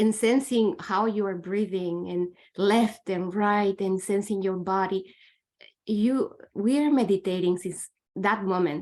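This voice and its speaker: A woman with a non-native accent speaks fairly slowly at a medium pitch with fairly even intonation. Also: quiet background. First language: not English. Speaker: meditation student. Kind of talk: group sharing. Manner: halting.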